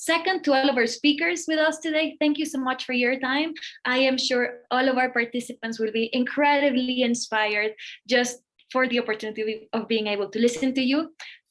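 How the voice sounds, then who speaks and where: A woman with a Spanish accent, high-pitched, fairly quick, with ordinary pitch variation. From Mexico (Monterrey). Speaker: nonprofit executive, event speaker. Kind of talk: event welcome speech.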